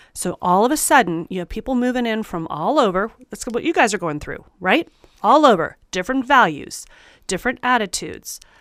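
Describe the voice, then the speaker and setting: On a very clean recording with a silent background, a woman with an American accent speaks fairly quickly in a fairly high pitch, with very wide pitch swings and big swings in loudness. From California, Bay Area. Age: 50s. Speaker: math teacher. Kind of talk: casual conversation. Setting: sitting across from host. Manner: halting, repeats words.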